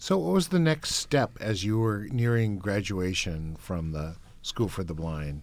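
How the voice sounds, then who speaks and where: This man has an unremarkable speaking voice, fairly low in pitch, with lively intonation at a fairly slow pace. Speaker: interviewer. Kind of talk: interview conversation. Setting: recording studio.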